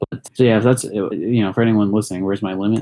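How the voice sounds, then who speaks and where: A man speaks very fast in a dark, mellow tone with monotone, flat intonation. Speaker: podcast co-host. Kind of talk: casual chat. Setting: online voice call.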